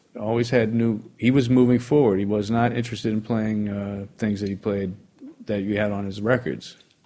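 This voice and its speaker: A man with a New York accent speaks at a moderate pace, his fairly low voice carrying fairly even intonation. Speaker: jazz pianist. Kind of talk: casual interview chat.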